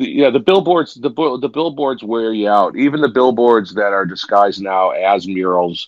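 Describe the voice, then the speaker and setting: A man with an American accent uses an ordinary speaking voice at a medium pitch. His intonation is lively and his pace moderate. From Chicago, US Midwest. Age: 50s. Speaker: public art charity leader. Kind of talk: casual interview.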